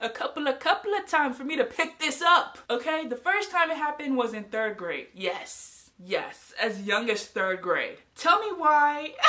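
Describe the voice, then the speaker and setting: A woman projects a raised voice, high-pitched with a bright, sharp tone and very wide pitch swings. She keeps a moderate pace with hardly any pauses against a quiet background. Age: 20s. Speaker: youtuber. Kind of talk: casual vlog storytelling. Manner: animated. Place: home room. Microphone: phone near.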